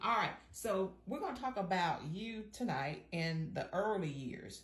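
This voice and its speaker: A woman with an ordinary speaking voice talks at medium pitch and a moderate pace with lively intonation. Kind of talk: interviewer, casual.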